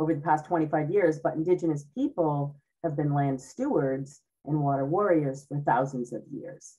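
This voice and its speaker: In a very deep, low voice with a dark, mellow tone, a woman speaks with an American accent and ordinary pitch variation. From Cape Cod, Massachusetts; Massachusetts. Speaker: speaker. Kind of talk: presentation talk. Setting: video call. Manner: slower than usual. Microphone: video call.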